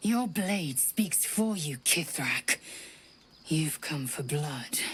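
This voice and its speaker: A put-on character voice growls at a middle pitch. The pace is very slow. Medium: video game. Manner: harsh, clipped, defiant.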